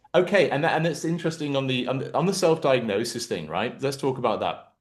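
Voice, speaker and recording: Speaking at a very fast pace, a man uses a fairly high pitch with vocal fry and ordinary pitch variation. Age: 40s. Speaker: podcast host. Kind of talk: casual chat. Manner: halting.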